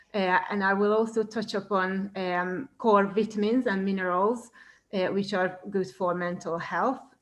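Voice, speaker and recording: A woman with a Hungarian accent speaks at a medium pitch. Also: fairly even intonation, fairly slow pace. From Hungary. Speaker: cooking teacher. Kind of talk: presentation. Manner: hesitant, many fillers.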